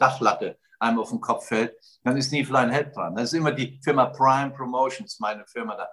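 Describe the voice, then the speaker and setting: At a moderate pace, a man with a normal speaking voice talks at a medium pitch with ordinary pitch variation. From Germany, Westerwald. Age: 60s. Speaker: radio host, entrepreneur and charity founder. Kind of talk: casual interview.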